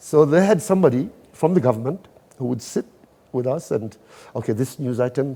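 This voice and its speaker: A somewhat breathy man with a Kenyan coastal accent, medium in pitch and dark, mellow in tone, with lively intonation, a fairly quick pace and long, frequent pauses. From Kenya, Mombasa. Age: 60s. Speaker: event organizer. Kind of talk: interview.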